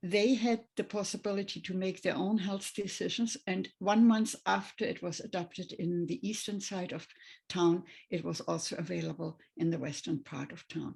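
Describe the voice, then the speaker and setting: A woman speaks at a moderate pace with a German accent and some vocal fry. Her pitch sits in the medium range and varies in an ordinary way. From Germany, Berlin. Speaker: retired nurse. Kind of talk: testimony. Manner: halting.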